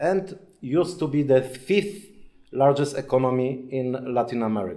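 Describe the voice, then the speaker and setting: Audible room echo surrounds a man speaking in a Polish accent. His tone is dark and mellow. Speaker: lecturer, former diplomat and journalist. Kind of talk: lecture. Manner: halting.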